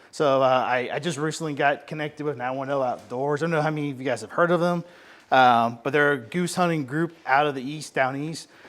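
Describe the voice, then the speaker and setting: Against a very clean recording with a silent background, a man with an American accent speaks at a fairly quick pace, fairly high in pitch with fairly even intonation. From North Carolina coast. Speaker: duck hunter and dog trainer, presenter. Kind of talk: seminar presentation. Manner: fast; casual, passionate.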